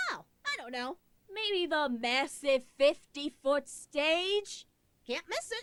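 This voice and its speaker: A cartoonish character voice, high in pitch, at a very slow pace. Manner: sarcastic.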